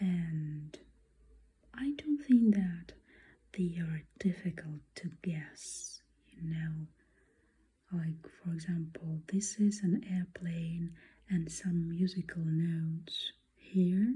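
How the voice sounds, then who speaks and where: Soft-spoken delivery at a very slow pace, broken by long, frequent pauses. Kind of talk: ASMR art show-and-tell talk. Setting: close to microphone.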